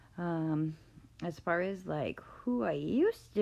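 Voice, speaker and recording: A woman with an American accent, her voice very deep and low, dark and mellow in tone. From Massachusetts. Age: 40s. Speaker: wellness podcaster. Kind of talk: personal monologue. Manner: hesitant, many fillers.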